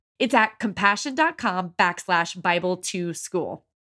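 A woman speaks with a warm, upbeat tone and very wide pitch swings. The recording is very clean, with a silent background. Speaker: podcast host. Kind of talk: podcast interview, host intro and chat.

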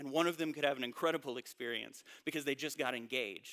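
A man speaks at a fairly quick pace with a Southern US accent, his pitch fairly high and his tone bright and sharp. The sound is dry and close, with no echo. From North Carolina, US South. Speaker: pastor. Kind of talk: sermon.

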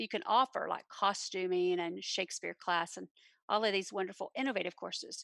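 A Texan accent, dry and close with no echo, on a very clean recording with a silent background. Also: woman. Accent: Texan American. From Texas, Granbury. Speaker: theater teacher. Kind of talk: interview.

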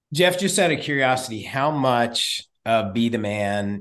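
Against a quiet background, a man speaks with a Texan accent. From Texas. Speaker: podcast host. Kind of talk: interview.

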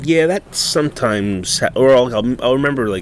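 A man talks at a fairly slow pace with a medium pitch and ordinary pitch variation. He has an unremarkable speaking voice. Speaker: podcast host. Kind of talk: casual chat. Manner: casual, profane.

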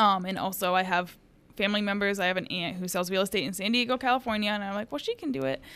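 A woman talks at a very fast pace. Her tone is bright and sharp. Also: medium pitch for a woman, ordinary pitch variation. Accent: American. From US South, Tennessee (near Memphis). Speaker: real estate agent. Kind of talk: casual interview.

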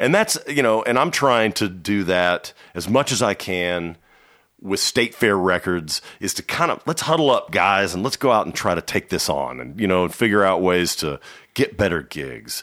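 A man with an American accent talks at a moderate pace in a bright, sharp tone with vocal fry, fairly low pitch and very wide pitch swings, in a very clean recording with a silent background. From Dallas, Texas. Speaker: record producer and label co-owner. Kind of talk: casual interview. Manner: halting, many restarts and fillers.

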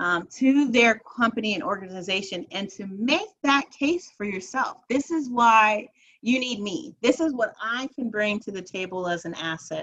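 With an American accent and an ordinary speaking voice, the speaker goes at a moderate pace with hardly any pauses, lively intonation and big swings in loudness. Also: woman, fairly high pitch for a woman. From New Jersey. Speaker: nonprofit program executive. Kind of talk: interview.

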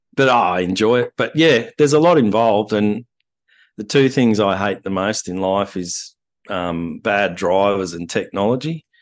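A fairly low-pitched man with an Australian accent, lively intonation and a moderate pace against a quiet background. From Australia, Wagga Wagga, New South Wales. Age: 50s. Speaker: landscape photographer. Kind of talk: interview conversation. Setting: video call.

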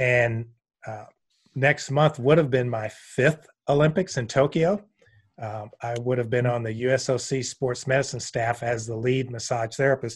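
On a very clean recording with a silent background, a man at medium pitch speaks at a moderate pace, somewhat breathy, with fairly even intonation. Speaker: massage therapist and educator. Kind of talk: interview.

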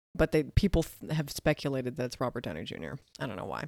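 Lively intonation and vocal fry mark this very fast speech, recorded very cleanly with a silent background and a dry, close sound with no echo. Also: woman. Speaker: podcast co-host. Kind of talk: casual chat. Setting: studio. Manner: soft-spoken.

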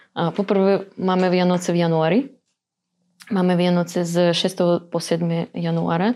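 Woman's dark, mellow voice in a monotone, flat intonation at very even loudness, on a very clean recording with a silent background. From Ukraine, Dnipropetrovsk. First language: Russian (speaking Slovak). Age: 20s. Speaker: teacher. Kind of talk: casual interview. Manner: halting, hesitant.

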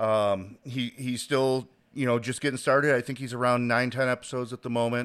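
In a very clean recording with a silent background, a man speaks in a normal speaking voice with an American accent, at medium pitch and a moderate pace. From Chicago. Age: 30s. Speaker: podcast host. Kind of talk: casual chat.

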